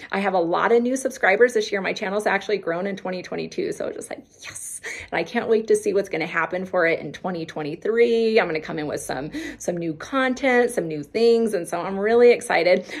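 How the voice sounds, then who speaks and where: Over noticeable background noise, a woman speaks in an animated tone at a fairly quick pace. Her medium-pitched voice has ordinary pitch variation and big swings in loudness. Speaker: health vlogger. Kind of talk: casual vlog talk to viewers. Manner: fast.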